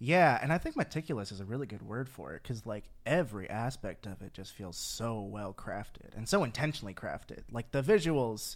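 A man speaks at a fairly quick pace with hardly any pauses, his pitch medium and his intonation lively. The loudness swings widely, the recording is very clean with a silent background, and he has a plain, everyday voice. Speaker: podcast host. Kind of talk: casual chat.

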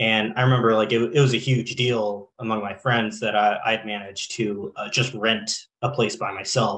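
A man speaks at a medium pitch with hardly any pauses. His intonation is monotone and flat. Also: moderate pace. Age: 20s. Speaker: community college student and community organizer. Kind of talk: radio panel discussion. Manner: halting, many fillers and repeats.

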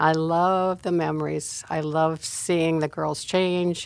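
A woman with a very deep, low pitch speaks at a fairly slow pace in monotone, flat intonation, on a very clean recording with a silent background. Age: 80s+. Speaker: church elder, pastor's mother. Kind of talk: testimony. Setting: studio.

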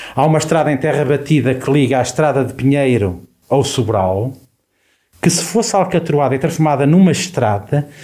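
A man talks at a moderate pace in a somewhat breathy voice with a dark, mellow tone. His pitch is fairly high and his loudness very even. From Portugal, Viseu district. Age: 50s. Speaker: local election candidate. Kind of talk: radio election debate. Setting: radio studio.

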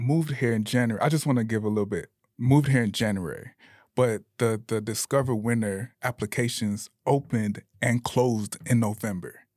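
On a very clean recording with a silent background, a man has a normal speaking voice with an American accent. His medium pitch shows ordinary pitch variation at a moderate pace. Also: dry, close sound with no echo. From Bradenton, Florida. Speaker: ski club co-founder. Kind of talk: casual chat.

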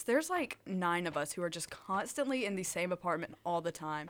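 A plain, everyday voice from a woman with an American accent, medium in pitch and at a fairly quick pace. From Alabama, US South (Tuscaloosa). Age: young. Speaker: college student radio DJ. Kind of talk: casual chat.

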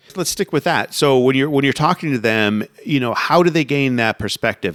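In a very clean recording with a silent background and a dry, close sound with no echo, a man with an American accent speaks at a very fast pace with lively intonation. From US Florida. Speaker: podcast host. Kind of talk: casual interview chat.

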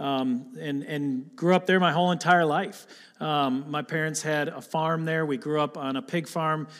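A man with a Michigan accent at a fairly high pitch and a moderate pace, fairly even intonation, in a very clean recording with a silent background. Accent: Midwestern American (Michigan). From Michigan (Lapeer area, Attica). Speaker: pastor candidate. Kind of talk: sermon. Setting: church.

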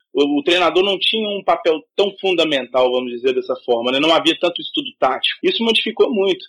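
A man talks at a fairly quick pace with hardly any pauses, his high voice swinging very widely in pitch. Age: 20s. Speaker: football analyst, journalism student. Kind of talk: casual chat.

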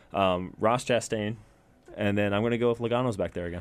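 A man talks in a plain, everyday voice, fairly low in pitch. His intonation is fairly even and his pace moderate. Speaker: racing driver and co-host. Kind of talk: casual chat.

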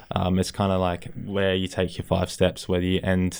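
Speaking with an Australian accent, a man has a very deep, low pitch. His intonation is monotone and flat. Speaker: college football punter. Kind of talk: casual interview.

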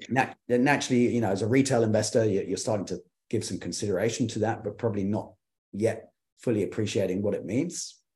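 Against a quiet background, a man with a medium-pitched, somewhat breathy voice talks very fast, his pitch moving in an ordinary way. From UK, then Kenya from age twelve. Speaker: ESG consultant, business founder. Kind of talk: interview. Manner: halting, many fillers and repetitions.

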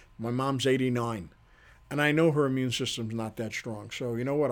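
A man speaks in an unremarkable speaking voice at medium pitch. His pace is fairly quick and his intonation fairly even. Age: 60s. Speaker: chiropractor and podcast host. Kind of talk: solo podcast monologue.

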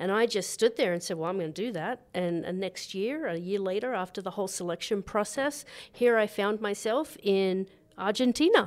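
A woman with an Australian accent talks at a medium pitch and a moderate pace. Her tone is warm, and her pitch varies an ordinary amount. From Australia, New South Wales. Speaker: resort food and beverage director, chef. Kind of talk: casual interview. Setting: at ski resort lodge. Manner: warm, laughs often.

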